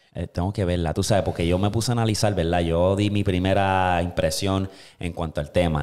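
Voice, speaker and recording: The man's voice sits fairly low and moves at a moderate pace. Behind him, the background stays quiet. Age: 20s. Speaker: podcast host. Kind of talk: casual chat. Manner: animated. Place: studio. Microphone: studio mic.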